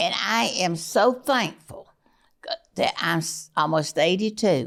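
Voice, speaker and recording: In a Southern US accent, a woman of medium pitch speaks at a very slow pace with lively intonation, on a very clean recording with a silent background. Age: 80s+. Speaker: family matriarch. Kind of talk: casual chat.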